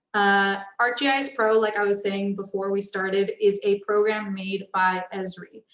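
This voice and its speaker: It is an ordinary speaking voice with fairly even intonation. The pace is fairly slow. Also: woman. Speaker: architecture student chapter president. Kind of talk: tutorial.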